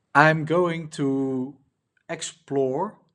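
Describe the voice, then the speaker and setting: A man speaks with a Dutch accent. The background is quiet. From Netherlands. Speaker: indie app builder, coach. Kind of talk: casual vlog, unscripted walkthrough. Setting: recording at laptop. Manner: halting, many fillers.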